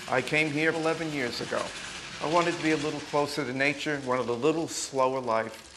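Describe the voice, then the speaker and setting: A man with an American accent and fairly high pitch, very fast and fairly even in intonation, with noticeable background noise and audible room echo. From New York. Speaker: museum director. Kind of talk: interview.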